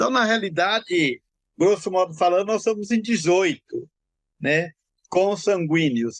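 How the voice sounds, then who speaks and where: A man with a high pitch speaks at a fairly slow pace, leaving long, frequent pauses. His loudness stays very even, his pitch varies in an ordinary way, and the sound is dry and close with no echo. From São Paulo, Brazil (interior, then São Paulo city east zone). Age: 70s. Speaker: retired executive, tree planter. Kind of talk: interview.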